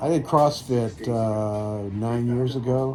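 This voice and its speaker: Noticeable background noise sits behind a man with an American accent. He speaks at medium pitch with ordinary pitch variation. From New York area (Pelham, Westchester). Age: 60s. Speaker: hiker vlogger. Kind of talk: casual chat.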